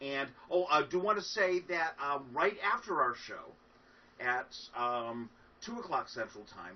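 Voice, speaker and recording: Against noticeable background noise, a man speaks at a fairly slow pace in a high pitch, with very wide pitch swings and big swings in loudness. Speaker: folk musician. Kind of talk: casual chat. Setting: livestreamed concert. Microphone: far from the mic.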